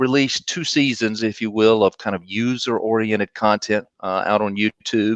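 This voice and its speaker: A man with a slight Southern US accent speaks at a medium pitch. The sound is dry and close, with no echo. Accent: Southern drawl, slight. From US South, North Carolina. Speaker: marketing executive. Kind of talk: interview. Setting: live video stream.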